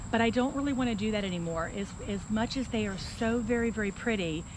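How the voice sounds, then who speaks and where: A woman's medium-pitched voice carries audible room echo. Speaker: gardening vlogger. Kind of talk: tutorial. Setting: outdoors. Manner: fast.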